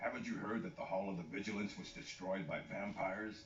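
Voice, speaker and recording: A man puts on a character voice at a fairly low pitch. He talks at a fairly quick pace over clear background noise. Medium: video game. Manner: gruff, blunt.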